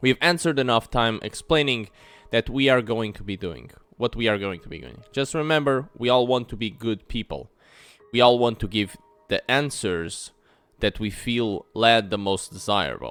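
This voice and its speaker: With a non-native accent, a man speaks at a moderate pace and medium pitch. His pitch variation is ordinary, while his loudness swings widely. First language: not English. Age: 20s. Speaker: gaming YouTuber. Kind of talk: reading aloud game text with commentary. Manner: halting.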